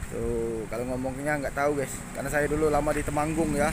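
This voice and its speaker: Speaking with a Palembang accent, a man uses a fairly high pitch with ordinary pitch variation, with audible room echo and noticeable background noise. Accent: Palembang accent, somewhat rough-sounding. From Palembang, South Sumatra. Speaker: vlogger. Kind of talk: casual walking vlog. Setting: outdoors, walking along a street.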